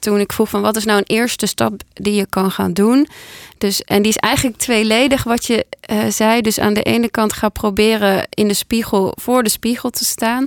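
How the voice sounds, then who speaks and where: A woman talks at a moderate pace in a fairly high pitch, with monotone, flat intonation. Her loudness stays very even, and the sound is dry and close with no echo. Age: 30s. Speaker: podcast host and decluttering coach. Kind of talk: casual chat. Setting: studio.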